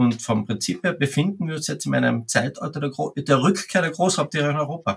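Lively intonation with vocal fry at a fairly quick pace. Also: man, fairly high pitch for a man. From Austria, Carinthia. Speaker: wildlife ecologist, bear expert. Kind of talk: interview.

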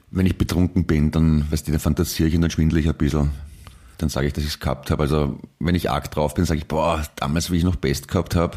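A man talks at a very fast pace in a very deep, low voice with a dark, mellow tone, vocal fry and monotone, flat intonation. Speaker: podcast co-host. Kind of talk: casual chat.

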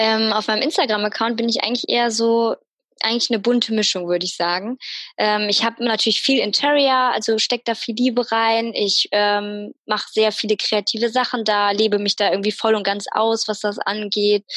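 A woman with a plain, everyday voice and fairly high pitch speaks at a moderate pace, her loudness very even and her intonation fairly even. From Münster, Germany. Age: 20s. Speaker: media designer and Instagram creator. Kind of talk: casual interview chat.

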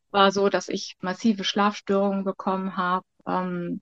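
Dry and close with no echo over a quiet background, a woman speaks at medium pitch and a fairly slow pace. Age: 50s. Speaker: childcare worker. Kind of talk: interview.

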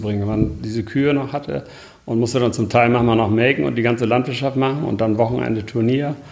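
Over noticeable background noise, a man speaks very fast at medium pitch with ordinary pitch variation. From northern Germany, near Bremen. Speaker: horse breeder and farmer. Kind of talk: interview.

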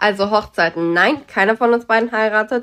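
A woman speaks in a plain, everyday voice at a fairly high pitch, moving at a moderate pace with ordinary pitch variation. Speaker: podcast co-host. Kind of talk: casual chat. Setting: train station.

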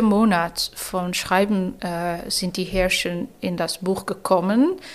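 This is a woman's voice. She speaks with a Dutch accent. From Netherlands, Rotterdam. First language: Dutch (speaking German). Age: 30s. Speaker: novelist. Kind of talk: interview. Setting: embassy room.

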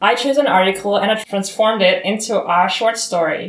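A woman speaks with a German accent. Her pitch variation is ordinary. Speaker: student. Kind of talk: casual chat.

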